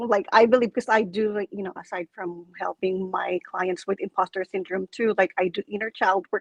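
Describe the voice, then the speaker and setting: A woman speaks with a Filipino accent at a medium pitch. The sound is dry and close, with no echo. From Philippines. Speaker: coach and public speaker, club president. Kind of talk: casual interview. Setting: live stream video call. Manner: animated.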